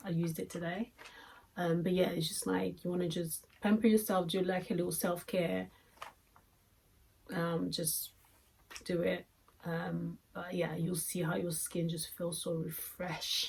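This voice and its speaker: A woman with a non-native accent, fairly low-pitched and flat, monotone in intonation, with vocal fry, a fairly slow pace and long, frequent pauses. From Congo. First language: French or Lingala. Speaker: beauty vlogger. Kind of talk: product review. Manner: hesitant, many fillers; casual.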